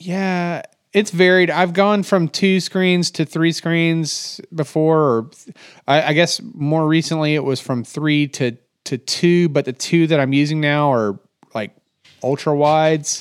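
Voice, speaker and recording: This man has a normal speaking voice, fairly high in pitch with ordinary pitch variation, moving at a fairly slow pace on a very clean recording with a silent background. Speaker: software developer podcast co-host. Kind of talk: casual technical discussion.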